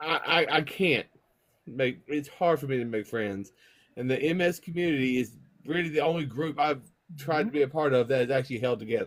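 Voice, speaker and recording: A man with a fairly high voice talks at a fairly quick pace, using ordinary pitch variation and long, frequent pauses. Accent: Southern US. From US South. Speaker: person with MS in online community. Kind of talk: casual group chat.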